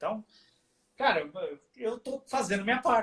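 This man's tone comes across bright and sharp. He uses a raised, projected voice. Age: 50s. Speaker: heavy metal musician. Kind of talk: casual chat. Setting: live stream from home studio.

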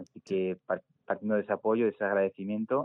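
Speaking very fast, a man delivers his lines in a monotone, flat way at a fairly low pitch. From Spain, Segovia. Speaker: environmental scientist and climate activist. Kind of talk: interview.

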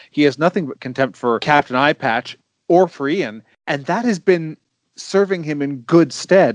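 An ordinary speaking voice, a man's, fairly high in pitch, with lively intonation at a moderate pace, a dry, close sound with no echo and a quiet background. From Canada. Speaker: podcast guest panelist. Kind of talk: casual chat.

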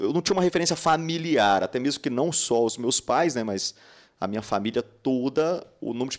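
With a normal speaking voice, a man talks at a fairly quick pace and medium pitch, his intonation lively, in a very clean recording with a silent background. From Minas Gerais, Brazil (Patos de Minas). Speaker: dentist and dental educator. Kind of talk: casual interview.

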